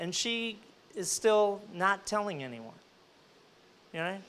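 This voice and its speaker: This is a man speaking. His pitch is high for a man. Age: 60s. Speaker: entrepreneur, panelist. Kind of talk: panel discussion.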